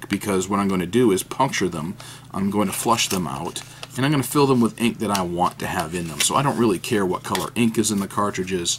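A man with an American accent, fairly low pitch, ordinary pitch variation and a fairly quick pace, over light background noise. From New Hampshire, US. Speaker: fountain pen YouTuber. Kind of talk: casual unboxing monologue. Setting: at home desk. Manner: hesitant, many fillers.

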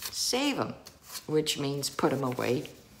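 A woman speaks with a South Louisiana accent. Her voice is very deep and low-pitched. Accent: Cajun South Louisiana. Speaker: vlogger. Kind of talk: casual talk to camera. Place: home room. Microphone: phone near.

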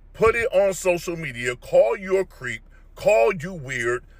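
Dry and without echo, a man's bright, sharp voice moves at a fairly slow pace. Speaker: fitness commentator. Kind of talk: opinion rant vlog. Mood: disapproving, lecturing. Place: car. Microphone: phone near.

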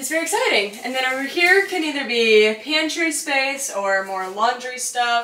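With audible room echo and light background noise, a woman raises and projects her voice, using lively intonation at a moderate pace. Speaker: homeowner vlogger. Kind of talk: casual vlog chat. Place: kitchen. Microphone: camera far.

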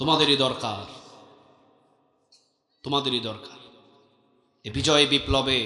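With fairly even intonation, a man delivers his words in an unremarkable speaking voice at a medium pitch. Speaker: Islamic preacher. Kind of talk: waz sermon to a crowd, motivational. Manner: loud, forceful, rhetorical.

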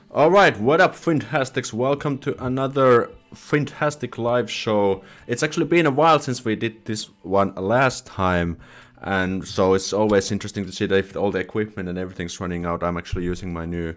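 A man talks at a fairly quick pace with lively intonation. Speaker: live streamer. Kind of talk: casual live stream chat. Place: home room. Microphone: studio mic.

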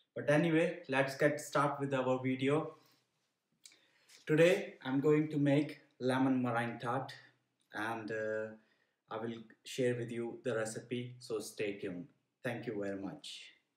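A man's fairly slow speech with long, frequent pauses, ordinary pitch variation, and audible room echo. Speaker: cooking channel host. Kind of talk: casual vlog chat. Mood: cheerful, relaxed. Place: kitchen. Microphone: phone near.

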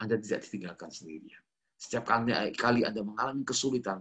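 Over a quiet background, a man speaks in a bright, sharp tone with fairly even intonation. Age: 40s. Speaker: pastor. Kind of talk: sermon. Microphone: webcam.

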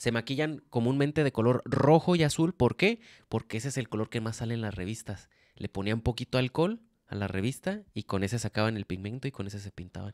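A man talks at a fairly quick pace with medium pitch and ordinary pitch variation. The sound is dry with no echo and the background quiet. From Mexico. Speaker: podcast co-host. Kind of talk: casual chat. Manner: casual, slangy. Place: home room. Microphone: handheld.

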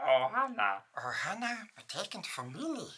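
Someone performs a put-on character voice at a middle pitch.

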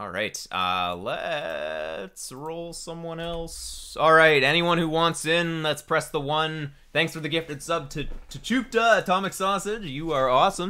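A fairly high-pitched man speaks at a fairly slow pace with hardly any pauses and an animated tone. His pitch varies in an ordinary way while his loudness swings widely. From western Canada. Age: 20s. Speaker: video game coach and streamer; video game coach, streamer. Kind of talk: live stream coaching chat. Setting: home basement, live stream. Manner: casual, animated. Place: home room.

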